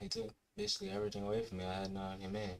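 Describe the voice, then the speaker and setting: The speaker is a man. His voice has a fairly low pitch. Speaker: live streamer. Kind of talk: casual livestream monologue. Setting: livestream. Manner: fast.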